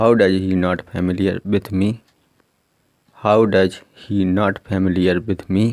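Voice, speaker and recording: This man has a very deep, low pitch and a monotone, flat intonation, and he leaves long, frequent pauses. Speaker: English teacher. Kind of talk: language lesson.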